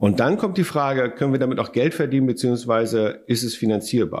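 A man with a plain, everyday voice, medium pitch and moderate pace, on a very clean recording with a silent background. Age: 50s. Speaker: company founder. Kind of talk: interview.

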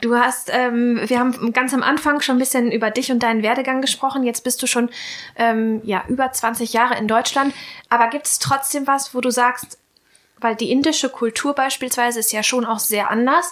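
A woman with a high voice talks at a moderate pace, keeping her intonation fairly even. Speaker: podcast host. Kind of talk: casual interview.

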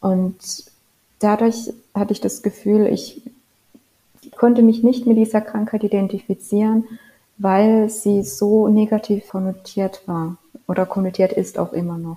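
A woman speaks at a fairly slow pace with long, frequent pauses. Her medium-pitched voice is somewhat breathy, with a dark, mellow tone and fairly even intonation. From rural Germany. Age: 20s. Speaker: novelist. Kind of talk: interview.

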